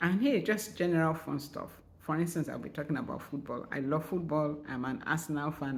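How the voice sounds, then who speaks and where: A woman's very deep, low voice at a fairly quick pace, with ordinary pitch variation and audible room echo. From Nigeria. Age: 60s. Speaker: writer and vlogger. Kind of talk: channel introduction vlog. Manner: casual, conversational.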